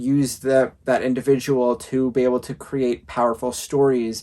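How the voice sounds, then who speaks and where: This man's medium-pitched voice has a dark, mellow tone and a monotone, flat intonation. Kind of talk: casual review talk to camera.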